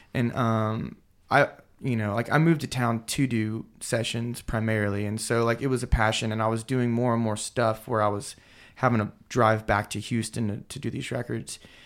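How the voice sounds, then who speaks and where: An ordinary speaking voice at a moderate pace, with fairly even intonation and a very clean recording with a silent background. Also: man, medium pitch for a man. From Texas. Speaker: session drummer and studio producer. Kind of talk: casual interview chat. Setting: studio.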